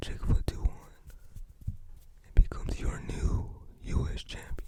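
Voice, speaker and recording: Whispering at a moderate pace. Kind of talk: casual commentary on wrestling matches. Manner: soft-spoken.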